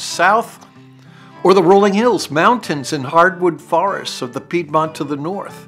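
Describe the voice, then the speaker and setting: Very wide pitch swings in an American accent, at a fairly slow pace, with music in the background. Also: man. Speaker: narrator. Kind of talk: travel series trailer narration.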